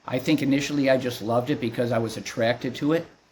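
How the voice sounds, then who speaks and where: Talking at a very fast pace, a man is heard. His voice is somewhat breathy. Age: 60s. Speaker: martial arts instructor. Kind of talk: interview. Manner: halting.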